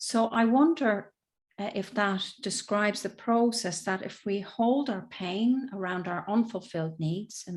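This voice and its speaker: The speaker talks at a moderate pace in an Irish accent, with ordinary pitch variation. The recording is very clean against a silent background. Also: woman. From Southern Ireland. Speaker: emotional intelligence and communication coach. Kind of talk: interview answer.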